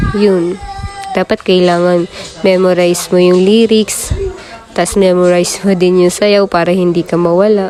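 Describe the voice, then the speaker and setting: Over background music, a woman with a medium pitch talks at a fairly slow pace in a monotone, flat intonation, keeping her loudness very even. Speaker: vlogger and TV show contestant. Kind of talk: casual vlog narration. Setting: outdoors then TV studio.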